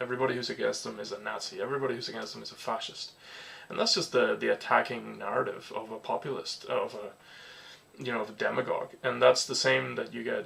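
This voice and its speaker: Against noticeable background noise, a man talks at a very fast pace with big swings in loudness. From Venezuela. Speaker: political commentator. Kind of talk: casual talk to camera.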